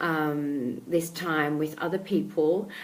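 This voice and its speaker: A woman with an Australian accent, fairly low in pitch and with ordinary pitch variation, speaks with audible room echo. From Australia, Melbourne. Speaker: life coach. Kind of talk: casual talk to camera. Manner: hesitant, many fillers.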